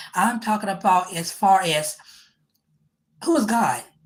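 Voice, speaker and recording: This woman's voice sits at a medium pitch. It sounds somewhat breathy. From United States. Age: 50s. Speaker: podcast host. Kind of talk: testimony. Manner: halting.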